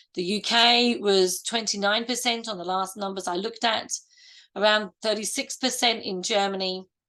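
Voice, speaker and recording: A woman with a fairly high pitch and a bright, sharp tone keeps her intonation fairly even over a quiet background. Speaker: midwife and university lecturer, webinar speaker. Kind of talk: webinar presentation. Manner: trying to slow down.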